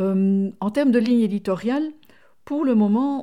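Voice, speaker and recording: A woman with a non-native accent speaks at a fairly slow pace in a dark, mellow tone with ordinary pitch variation. The recording is very clean, with a silent background. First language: not French (speaking French). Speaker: podcast co-host. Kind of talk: casual chat.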